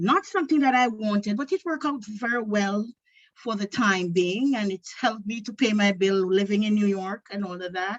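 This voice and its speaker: A woman speaks with a Jamaican accent in a somewhat breathy voice. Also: medium pitch for a woman, ordinary pitch variation, moderate pace. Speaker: aspiring filmmaker and screenwriter. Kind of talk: self-introduction at a meeting.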